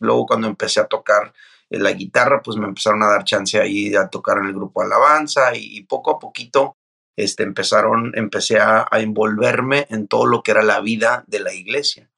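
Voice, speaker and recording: Recorded with a dry, close sound and no echo against a quiet background, a man speaks at a moderate pace. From Mexico, Mazatlán, Sinaloa. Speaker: pastor and author. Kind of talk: interview.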